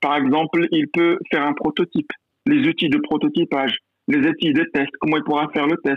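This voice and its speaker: A man speaks in a high voice with very wide pitch swings. His loudness stays very even. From Morocco, rural mountain village. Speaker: university professor and business school director. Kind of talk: interview. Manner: hesitant, many repetitions.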